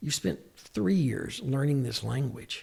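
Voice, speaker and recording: A man speaks with an American accent at medium pitch. His voice is somewhat breathy. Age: 60s. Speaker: psychiatric mental health nurse practitioner. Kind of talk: podcast interview.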